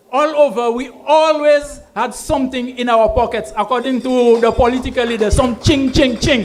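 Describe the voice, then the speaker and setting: With hardly any pauses, a man with an extremely high pitch talks at a moderate pace and fairly even intonation over noticeable background noise. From Saint Lucia. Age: 70s. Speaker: political rally speaker. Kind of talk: political rally speech. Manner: code-switches English and Kweyol.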